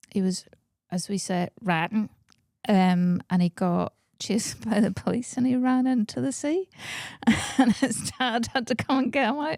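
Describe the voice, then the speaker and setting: A woman with a Northern Irish accent speaks at a moderate pace in a fairly high pitch, her intonation lively and her long pauses frequent, on a very clean, dry, close recording with a silent background and no echo. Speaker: comedian. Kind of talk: casual chat.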